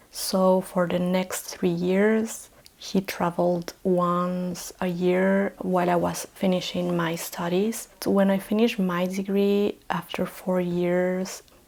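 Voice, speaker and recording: Over noticeable background noise, a woman with a Chilean Spanish accent speaks very slowly with hardly any pauses, her medium-pitched voice monotone and flat and her loudness very even. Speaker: vlogger. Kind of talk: personal storytelling vlog. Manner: hesitant with filler sounds.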